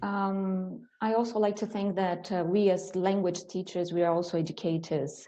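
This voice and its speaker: A woman's fairly low voice with a dark, mellow tone and a Portuguese accent. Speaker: English teacher. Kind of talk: panel discussion. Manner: halting, repeats words.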